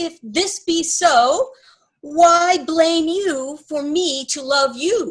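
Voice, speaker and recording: A woman speaks very slowly in a put-on character voice of extremely high pitch, with ordinary pitch variation. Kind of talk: amateur Shakespeare reading. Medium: stage play.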